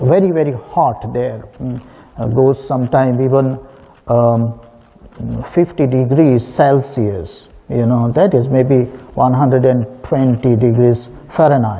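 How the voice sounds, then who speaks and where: Here a man talks at a very slow pace. His pitch shows ordinary variation. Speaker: priest. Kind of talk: sermon. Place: church.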